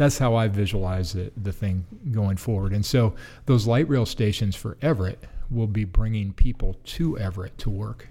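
A man with an American accent at a moderate pace, fairly low in pitch, somewhat breathy with a dark, mellow tone, on a very clean recording with a silent background. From US Pacific Northwest, Seattle area. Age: 50s. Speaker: city economic development director. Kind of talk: interview. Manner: halting, many fillers and restarts.

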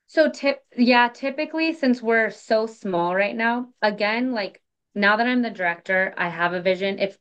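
A woman's pitch swings very widely while she keeps a moderate pace. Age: 20s. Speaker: clinical research company director. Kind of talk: casual interview chat.

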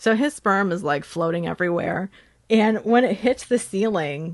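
A woman's normal speaking voice with an American accent, ordinary pitch variation, a moderate pace and a quiet background. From Chicago, US Midwest. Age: middle-aged. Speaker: podcast host. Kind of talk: casual chat, author interview.

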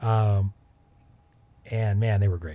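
A man speaks at a fairly slow pace in a dark, mellow tone that is somewhat breathy. The background is quiet. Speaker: music podcast co-host. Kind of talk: casual chat. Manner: animated.

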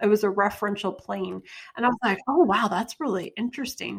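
Ordinary pitch variation with an American accent. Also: woman. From rural Kentucky. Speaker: artist. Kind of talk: casual interview chat. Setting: remote call from home studio.

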